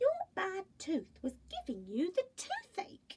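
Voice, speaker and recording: In a put-on character voice, a woman speaks squeakily at an extremely high pitch and a fairly slow pace. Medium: read story.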